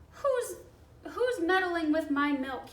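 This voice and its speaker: Shouting in a squeaky, put-on character voice, a woman hits an extremely high pitch with very wide pitch swings. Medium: read story.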